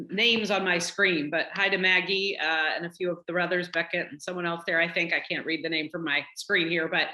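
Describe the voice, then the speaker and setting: A woman's fairly low voice with a slight Southern US accent, fairly quick with hardly any pauses and fairly even intonation, over noticeable background noise. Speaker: college dean. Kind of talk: casual talk.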